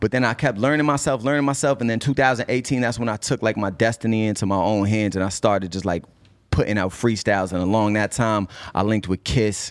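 A man with an American accent, fairly low in pitch with ordinary variation, at a very fast pace on a very clean recording with a silent background. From Cambridge, Massachusetts. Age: 30s. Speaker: rapper. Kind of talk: casual interview.

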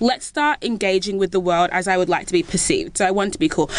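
Lively intonation at a fairly quick pace, with an Australian accent and noticeable background noise. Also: woman. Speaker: content creator. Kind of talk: casual chat.

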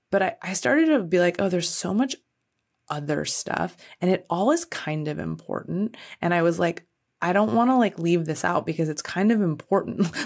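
A woman speaks at a moderate pace. Her pitch is fairly low and her intonation lively. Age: 40s. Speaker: music podcast host. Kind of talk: casual interview chat. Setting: in person in the same room.

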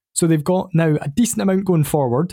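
On a very clean recording with a silent background, a man with a Scottish accent speaks at a fairly quick pace in a dark, mellow tone. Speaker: football podcast guest. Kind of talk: casual chat.

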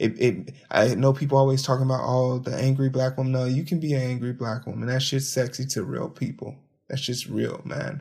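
A man talks at a fairly quick pace and medium pitch. He barely pauses. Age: 30s. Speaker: podcast host. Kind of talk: solo commentary podcast. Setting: home, late at night. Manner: animated.

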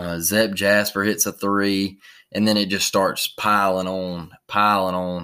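In a very clean recording with a silent background, an American man speaks at a fairly slow pace in a fairly low, bright and sharp voice with flat, monotone intonation. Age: 30s. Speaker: sports podcast host. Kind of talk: casual sports recap monologue.

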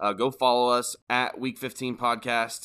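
With a bright, sharp tone, a man speaks at medium pitch in a very clean recording with a silent background. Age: 30s. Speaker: fantasy football podcast co-host. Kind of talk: casual chat.

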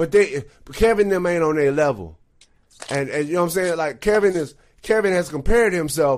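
Speaking at a moderate pace with long, frequent pauses, a man with an American accent uses a fairly high pitch and ordinary pitch variation. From Texas. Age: 30s. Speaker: musician. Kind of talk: casual chat.

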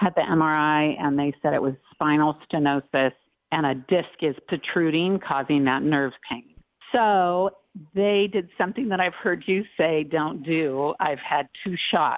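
An American accent at a fairly slow pace, with very even loudness and ordinary pitch variation. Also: woman, very deep, low pitch for a woman. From Long Beach, California. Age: 50s. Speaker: caller. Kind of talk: call-in conversation.

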